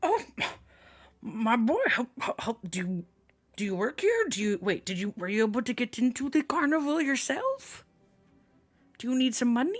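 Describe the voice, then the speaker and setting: An extremely high-pitched put-on character voice from a man, at a moderate pace with long, frequent pauses. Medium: actual play. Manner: boisterous, patronizing, warm.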